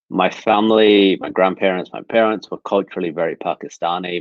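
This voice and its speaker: A man speaks at a moderate pace with an English Midlands accent. His pitch is very deep and low, and his intonation is fairly even. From England, Nottingham. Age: 30s. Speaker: speaker sharing personal story. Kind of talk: webinar talk, personal testimony. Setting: video webinar.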